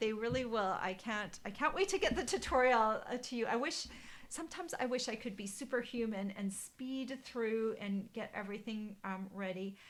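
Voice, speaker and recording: Lively intonation marks this woman's voice. She keeps a moderate pace. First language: German. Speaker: card-making demonstrator. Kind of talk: live stream craft tutorial chat. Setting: Facebook live stream. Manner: casual, hesitant with many fillers. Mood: cheerful, friendly. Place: home room. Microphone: webcam.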